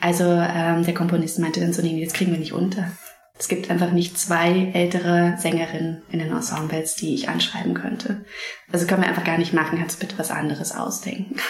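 A woman talks at a fairly quick pace with a fairly low pitch. Her intonation is fairly even, and there is noticeable background noise. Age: 30s. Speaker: playwright. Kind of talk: interview. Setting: theatre building. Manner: halting, many fillers.

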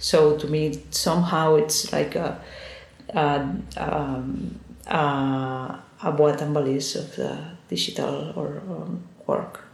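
A woman speaks at a very slow pace with long, frequent pauses, amid audible room echo and noticeable background noise. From Spain, Girona (Catalonia). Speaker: artist. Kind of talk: interview. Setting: office. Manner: halting. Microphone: poor sound quality.

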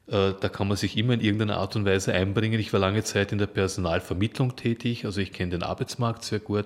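Barely pausing, a man speaks at a very fast pace with fairly even intonation. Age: 50s. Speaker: activist, former recruiter. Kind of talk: interview. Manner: hesitant, many fillers.

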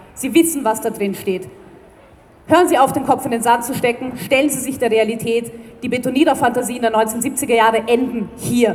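A woman speaks at a high pitch and a moderate pace, with ordinary pitch variation. Noticeable background noise is present. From Vienna. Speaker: environmental group spokesperson. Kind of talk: rally speech.

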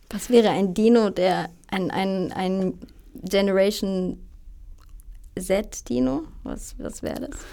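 A woman speaks very slowly with a dark, mellow tone and a medium pitch. Her intonation is lively, her loudness swings widely, and she pauses long and often. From southern Germany, Freiburg. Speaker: musician and voice therapist. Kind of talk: casual chat. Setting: studio.

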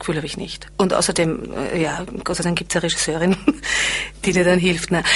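There is noticeable background noise in the clip. Through it, a woman speaks at a medium pitch. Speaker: actress and singer. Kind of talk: interview. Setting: studio.

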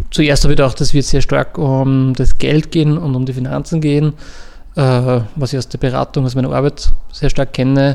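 This man's voice has a dark, mellow tone at medium pitch. He moves at a moderate pace with monotone, flat intonation. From Upper Austria, lower Mühlviertel. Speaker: cultural association director. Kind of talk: interview.

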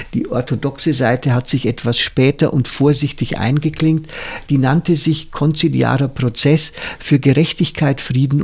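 A somewhat breathy man speaks at a moderate pace, his loudness very even and his intonation fairly even. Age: 60s. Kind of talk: casual chat.

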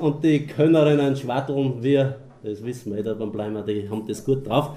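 Audible room echo surrounds a man speaking at a medium pitch and a moderate pace. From Austria, Mühlviertel. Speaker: dialect poet and moderator. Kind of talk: public reading and moderation.

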